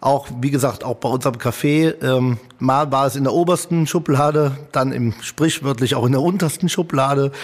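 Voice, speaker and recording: Male speech at a moderate pace with ordinary pitch variation, in a plain, everyday voice. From Italian heritage. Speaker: hotelier and restaurateur. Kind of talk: casual interview.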